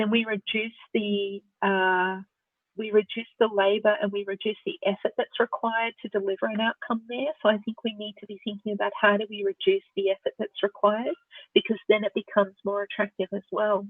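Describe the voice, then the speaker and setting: A woman with an Australian accent, fairly high-pitched, at a fairly quick pace and with fairly even intonation. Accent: Australian, elongated vowels. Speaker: researcher and speaker on open source voice technology. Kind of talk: Q&A after a presentation.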